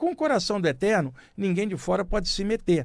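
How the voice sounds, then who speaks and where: A man talking at a very fast pace on a very clean recording with a silent background. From Rio de Janeiro, Baixada Fluminense. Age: 60s. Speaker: radio host and spiritualist writer. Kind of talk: spiritual radio talk. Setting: radio studio.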